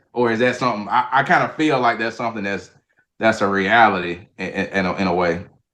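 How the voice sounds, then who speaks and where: With a Southern US accent, a man talks at a very fast pace, his medium-pitched voice bright and sharp in tone, with ordinary pitch variation and a quiet background. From Mississippi, US South. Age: 30s. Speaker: sports coach. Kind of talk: podcast interview.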